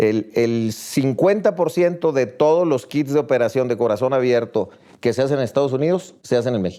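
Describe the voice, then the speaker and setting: Here is a man with an unremarkable speaking voice at a medium pitch. He talks at a moderate pace with lively intonation. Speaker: business executive. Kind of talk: casual chat.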